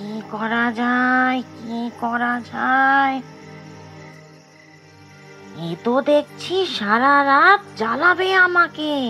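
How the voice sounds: A cartoonish character voice with a bright, sharp tone moves slowly through ordinary pitch variation while faint music plays in the background.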